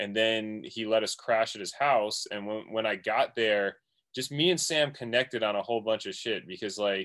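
At a moderate pace, this plain, everyday voice moves with ordinary pitch variation. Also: man, medium pitch for a man. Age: 40s. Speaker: music producer and DJ. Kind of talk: casual chat.

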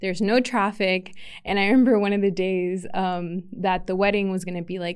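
At a moderate pace, a plain, everyday voice speaks with fairly even intonation. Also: woman. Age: 20s. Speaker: podcast host. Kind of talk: solo podcast monologue. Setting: podcast studio. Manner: casual, filler-heavy.

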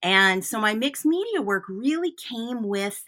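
A woman's bright, sharp, animated and enthusiastic voice with a Michigan accent, medium in pitch, lively in intonation, at a fairly slow pace. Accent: Michigan American. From US Midwest, Flint, Michigan. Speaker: artist and art teacher. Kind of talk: casual interview conversation. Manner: animated, enthusiastic.

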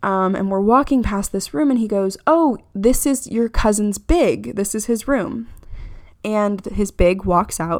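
A woman with an American accent speaks at a fairly slow pace in a fairly high pitch. Her tone is animated and her intonation lively. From Florida. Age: 20s. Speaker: podcast host. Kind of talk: casual chat.

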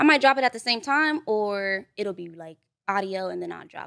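A woman with a Los Angeles accent on a very clean recording with a silent background, the sound dry and close with no echo. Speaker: content creator and aspiring rapper. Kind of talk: casual podcast interview. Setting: studio.

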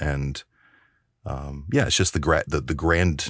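Vocal fry runs through a man's very deep, low voice as he speaks at a moderate pace. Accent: American. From US South. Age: 40s. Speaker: actor and filmmaker. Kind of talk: casual podcast interview.

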